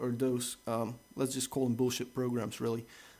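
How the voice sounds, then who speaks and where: This voice has a dark, mellow tone. It carries a Dutch accent. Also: man. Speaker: tech reviewer. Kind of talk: tutorial. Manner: casual, hesitant with many fillers.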